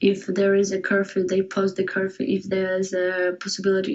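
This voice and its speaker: A woman with a Ukrainian accent, medium in pitch, at a fairly quick pace. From Kyiv, Ukraine. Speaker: Ukrainian student and volunteer. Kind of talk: interview answers. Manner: halting, repeats words.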